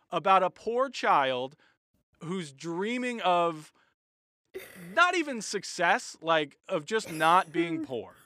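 With a raised, projected voice and a bright, sharp tone, a man speaks high in pitch with lively intonation, at a very slow pace broken by long, frequent pauses. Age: 30s. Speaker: comedian. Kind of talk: casual chat.

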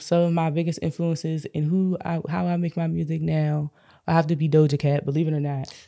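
A woman speaks at a very deep, low pitch with a dark, mellow tone. Her intonation is monotone and flat. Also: fairly quick pace. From Prince George's County, Maryland. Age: 20s. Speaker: singer. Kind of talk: casual chat, podcast interview.

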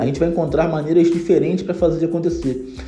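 Music plays in the background as a man speaks at a very fast pace. His pitch is fairly high, and the room echo is audible. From Brazil, Rio de Janeiro. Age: 30s. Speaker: marketing agency owner. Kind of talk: podcast interview.

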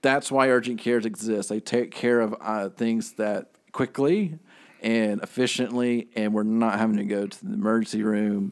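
A man talks in a normal speaking voice at a moderate pace. His pitch sits in the medium range. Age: 30s. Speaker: marketing podcast co-host. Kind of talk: casual business podcast chat.

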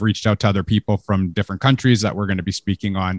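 In a normal speaking voice, a man talks at a fairly low pitch with fairly even intonation, the sound dry and close with no echo. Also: very clean recording, silent background. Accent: Canadian. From Canada. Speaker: podcast host. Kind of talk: casual interview.

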